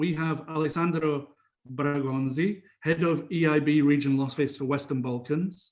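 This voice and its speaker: The speaker is a man with a British accent and a fairly high pitch. He keeps a moderate pace and fairly even intonation. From England. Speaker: lawyer and panel moderator. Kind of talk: conference panel moderation.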